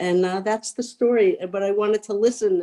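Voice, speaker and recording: This woman has a dark, mellow tone. She speaks at a moderate pace. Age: 60s. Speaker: therapist. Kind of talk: webinar self-introduction.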